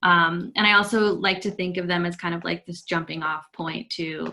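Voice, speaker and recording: Someone speaks at a fairly quick pace with an American accent. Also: woman. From US Midwest, rural. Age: 30s. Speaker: visual artist. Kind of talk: artist talk. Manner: hesitant, many fillers.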